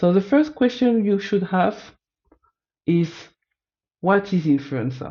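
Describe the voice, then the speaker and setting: With a French accent, a woman speaks at a medium pitch, her pitch swinging very widely, her loudness very even, and her speech marked by long, frequent pauses. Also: fairly slow pace. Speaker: data analyst student. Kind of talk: presentation of findings. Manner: halting, self-correcting.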